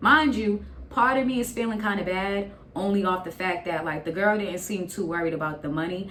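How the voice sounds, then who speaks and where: Against noticeable background noise, a woman speaks at a fairly quick pace with an American accent. Her medium pitch has ordinary variation. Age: 20s. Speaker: YouTuber. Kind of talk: casual storytime talk to camera. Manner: animated, comedic, profane.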